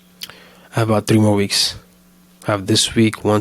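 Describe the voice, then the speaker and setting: Flat, monotone intonation from a man with a fairly low pitch, over noticeable background noise. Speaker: solo vlogger, small business owner. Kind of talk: casual weekly update vlog. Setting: home recording. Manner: fast; hesitant, many fillers and restarts.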